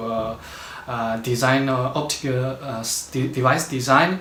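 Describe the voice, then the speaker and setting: The speaker has a Chinese accent and fairly even intonation. Audible room echo and noticeable background noise fill the recording. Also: man. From China. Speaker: postdoctoral researcher. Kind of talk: interview. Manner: halting, many fillers.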